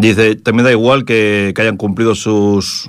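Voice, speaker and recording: A man with a fairly low pitch has an unremarkable speaking voice. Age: 40s. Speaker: radio host. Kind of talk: casual radio commentary.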